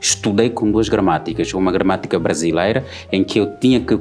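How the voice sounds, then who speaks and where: Over background music, a man with an Angolan accent talks at a very fast pace in a fairly low pitch. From Angola, rural village. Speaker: Portuguese language teacher and journalist. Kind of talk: TV talk show debate.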